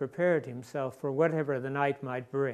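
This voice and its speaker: In a very clean recording with a silent background, a man has an ordinary speaking voice at a fairly high pitch with ordinary pitch variation. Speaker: storyteller. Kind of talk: theatrical ghost story performance.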